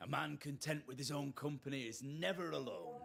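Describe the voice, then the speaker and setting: Putting on a gruff character voice, a man talks at a fairly quick pace and a fairly high pitch with lively intonation. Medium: video game. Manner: gruff, rude, crude.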